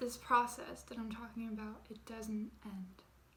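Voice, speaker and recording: Fairly high-pitched woman, monotone and flat, at a fairly slow pace, noticeable background noise. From France. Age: 20s. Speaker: YouTuber. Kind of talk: personal vlog.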